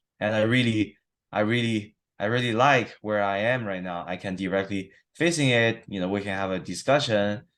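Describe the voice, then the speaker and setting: A man with a non-native accent speaks at a moderate pace in a fairly low pitch. His pitch varies in an ordinary way, and the background is quiet. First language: not English. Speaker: therapy client. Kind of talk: testimony. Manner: halting, many repetitions and fillers.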